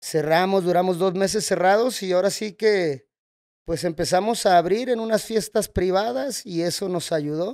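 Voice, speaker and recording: A high-pitched man speaks at a moderate pace with ordinary pitch variation. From Mexico, Guadalajara (Jalisco). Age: 30s. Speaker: nightclub owner. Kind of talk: casual interview. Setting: at the nightclub venue.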